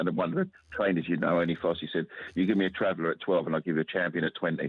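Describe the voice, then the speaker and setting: A man at a very fast pace, with a very deep, low pitch and monotone, flat intonation. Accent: London. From London (Kilburn, northwest London). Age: 60s. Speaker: caller. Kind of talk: radio phone-in.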